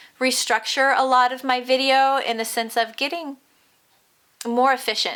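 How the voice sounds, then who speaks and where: With a bright, sharp tone, a woman speaks in a high pitch at a moderate pace, her intonation monotone and flat. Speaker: crochet tutorial vlogger. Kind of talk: casual chat.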